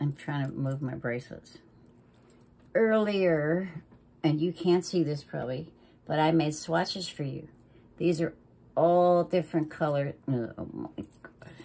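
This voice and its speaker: A woman with a very deep, low pitch and a dark, mellow tone speaks at a fairly slow pace, with fairly even intonation, big swings in loudness, and long, frequent pauses. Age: 60s. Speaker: makeup vlogger. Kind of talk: makeup tutorial. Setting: at home makeup table. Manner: casual, chatty.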